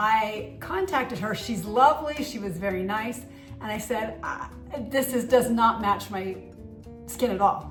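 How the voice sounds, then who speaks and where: A woman's fairly high voice at a fairly slow pace, with ordinary pitch variation, big swings in loudness, audible room echo and music in the background. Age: 60s. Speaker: beauty vlogger. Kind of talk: product review vlog. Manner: casual, conversational.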